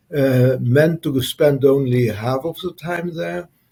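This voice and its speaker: A man speaks very slowly in a dark, mellow, somewhat breathy voice at a medium pitch, with ordinary pitch variation. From Luxembourg. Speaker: entrepreneur and former military officer. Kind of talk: interview. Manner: halting, many fillers.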